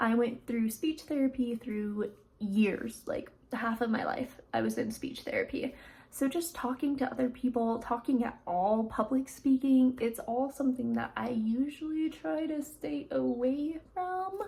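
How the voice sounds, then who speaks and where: Speaking at a fairly slow pace, a woman has a high pitch, a dark, mellow tone and ordinary pitch variation. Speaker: lifestyle vlogger. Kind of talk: casual vlog reflection. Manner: quiet, sometimes mutters; conversational, many fillers.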